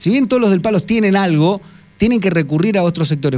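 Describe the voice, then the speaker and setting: A man is speaking. He talks at a very fast pace. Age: 40s. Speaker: radio host. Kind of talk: radio interview. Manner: halting, many repetitions and fillers.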